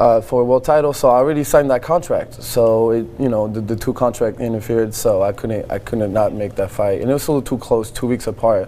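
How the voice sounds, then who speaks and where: Speaking at a very fast pace with hardly any pauses, a man keeps a medium pitch and fairly even intonation over noticeable background noise. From France. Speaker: Muay Thai fighter. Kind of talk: TV interview.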